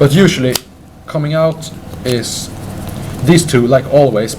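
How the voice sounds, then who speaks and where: Here a man talks at a fairly high pitch. Background noise is noticeable. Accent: Swedish. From Sweden. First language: Swedish. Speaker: card game deck presenter. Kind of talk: casual chat. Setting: game store with crowd. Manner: halting.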